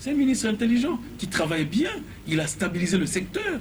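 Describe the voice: This man talks at a fairly quick pace in a voice pitched high for a man. His pitch swings widely.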